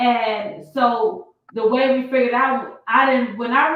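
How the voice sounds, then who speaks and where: A woman speaks loudly with a high pitch. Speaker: prophetess and guest. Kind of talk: casual interview. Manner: loud, expressive.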